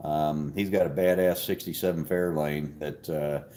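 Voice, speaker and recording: Here a man speaks with ordinary pitch variation. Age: 60s. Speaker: carburetor shop owner and livestream host. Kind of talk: casual livestream chat reading comments. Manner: halting, many fillers and restarts.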